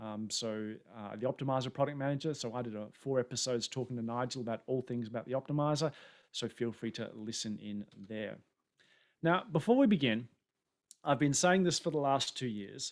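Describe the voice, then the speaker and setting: Here a man speaks with an Australian accent at a fairly quick pace. His pitch is medium, with ordinary variation. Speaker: tech conference speaker. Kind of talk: webinar presentation. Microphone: new camera setup, air conditioning off for sound.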